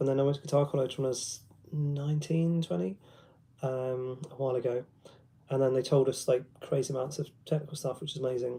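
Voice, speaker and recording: A man speaks very fast in a dark, mellow tone at a fairly high pitch, his intonation fairly even. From London, England. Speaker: guitarist and guitar teacher. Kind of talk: casual livestream chat with guitar demos. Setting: live stream. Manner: hesitant, many ums.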